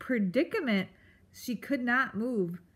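An unforced reading voice is heard.

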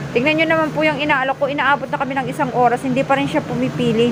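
A woman with a high pitch speaks very fast with hardly any pauses over noticeable background noise. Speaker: vlogger working as shoe vendor. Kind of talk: casual vlog narration. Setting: outdoors at a busy market. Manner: loud, calling out to customers.

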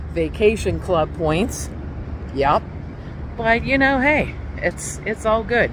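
Noticeable background noise sits behind a woman speaking at a very slow pace, the sound dry with no echo. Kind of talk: casual vlog chat. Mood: relaxed, a bit rueful. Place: beach. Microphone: phone near.

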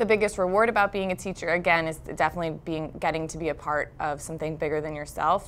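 A woman with an American accent talks at a fairly quick pace, her very deep, low pitch carrying vocal fry and fairly even intonation. Light background noise can be heard. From New Jersey, Brick Township; New Jersey. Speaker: high school math teacher. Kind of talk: interview monologue. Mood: warm, reflective. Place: studio.

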